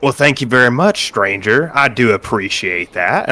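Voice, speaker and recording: Putting on a character voice, a man talks at a moderate pace at a medium pitch with very wide pitch swings. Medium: actual play.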